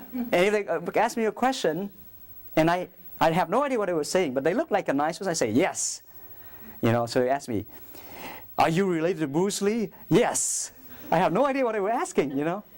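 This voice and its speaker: With a Vietnamese accent, a man talks at a fairly quick pace in a high pitch, his voice swinging very widely in pitch, broken by long, frequent pauses. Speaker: priest. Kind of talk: talk to school students.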